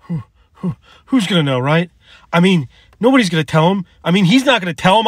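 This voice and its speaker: Delivered at a very fast pace, the speech has big swings in loudness, dry sound with no echo, and a quiet background. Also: man. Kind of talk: dramatic acted dialogue. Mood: tense, threatening, at times shouting. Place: car. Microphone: phone near.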